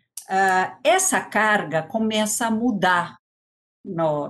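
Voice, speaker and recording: The pitch rises and falls in an ordinary way. There is audible room echo around the voice. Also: woman. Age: 60s. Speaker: education policy expert and former teacher. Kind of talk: lecture.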